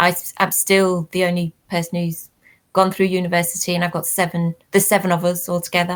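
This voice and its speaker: A woman with a Liverpool accent speaks at a fairly quick pace, her pitch fairly low. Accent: Liverpool (Scouse). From Liverpool, England. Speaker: academic discussing working-class education. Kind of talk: casual panel chat.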